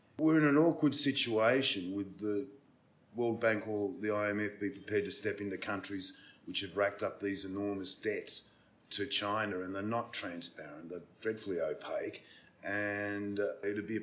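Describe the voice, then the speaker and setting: Fairly low-pitched male voice in an Australian accent, with ordinary pitch variation. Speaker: podcast host. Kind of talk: interview.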